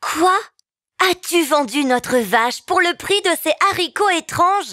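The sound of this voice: A woman puts on a character voice, pitched high, with a bright, sharp tone. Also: lively intonation, fairly slow pace, very clean recording, silent background.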